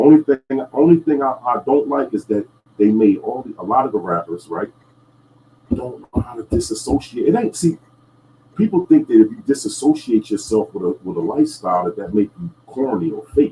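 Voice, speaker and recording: A man talks at a fairly quick pace. His loudness swings widely from moment to moment. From New Jersey. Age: 50s. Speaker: podcast host. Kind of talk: casual chat. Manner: halting, many fillers and repeats.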